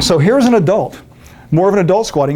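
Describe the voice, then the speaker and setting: A man is talking. His pace is fairly quick. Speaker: fitness instructor. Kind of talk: lecture. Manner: fast.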